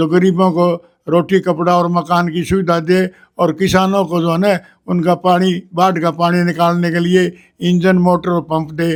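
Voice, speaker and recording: A man's high-pitched voice in a flat monotone. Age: 70s. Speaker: former village headman. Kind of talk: interview testimony. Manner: halting, with repetitions.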